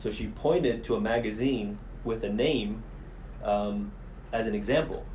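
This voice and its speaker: A man with an American accent speaks with long, frequent pauses. The room echo is audible. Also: moderate pace. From Miami, Florida. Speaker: police commander. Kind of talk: podcast interview.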